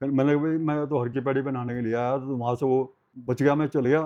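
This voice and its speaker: Flat and monotone, a man's voice stays at medium pitch. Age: 80s+. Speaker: retired former university worker, grandfather. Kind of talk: interview answer, life story.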